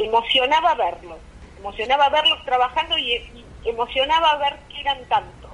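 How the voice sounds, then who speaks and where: A woman's high voice swings very widely in pitch. Noticeable background noise sits behind her. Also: moderate pace. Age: 50s. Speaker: politician. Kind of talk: phone interview.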